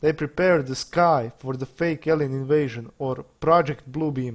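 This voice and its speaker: A man speaks at a fairly slow pace with a fairly high pitch and ordinary pitch variation, on a very clean recording with a silent background. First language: not English. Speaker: conspiracy video maker. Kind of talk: monologue to camera.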